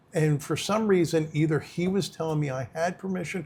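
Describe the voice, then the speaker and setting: A man with an unremarkable speaking voice talks at a moderate speed, his pitch fairly high and varying in an ordinary way. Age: 60s. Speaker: former prisoner, halfway house founder. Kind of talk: interview conversation. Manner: casual, plain-spoken.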